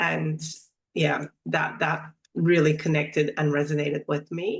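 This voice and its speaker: With vocal fry and a very deep, low pitch, a woman speaks fairly slowly in a monotone, flat way. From Turkey, then US DC area from age 10. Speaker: somatic practitioner. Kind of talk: interview. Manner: halting.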